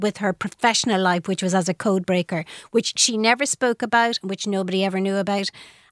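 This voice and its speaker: A woman with an Irish accent at a fairly quick pace, in a very clean recording with a silent background and a dry, close sound with no echo. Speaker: author. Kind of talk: radio interview.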